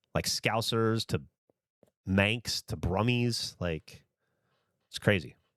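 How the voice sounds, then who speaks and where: On a very clean, dry, close recording with a silent background and no echo, a man speaks with a slight Southern US accent. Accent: slight Southern twang. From US South. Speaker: streamer. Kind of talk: casual chat. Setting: livestream.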